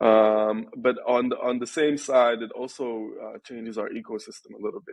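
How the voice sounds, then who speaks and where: A man with an Arabic accent at a moderate pace. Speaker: venture capital investor. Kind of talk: podcast interview. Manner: hesitant, many fillers.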